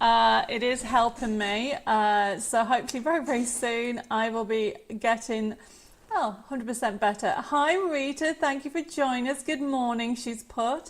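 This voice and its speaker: In an English accent, a woman with a high pitch speaks at a moderate pace with ordinary pitch variation. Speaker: craft presenter. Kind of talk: live stream chat. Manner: animated.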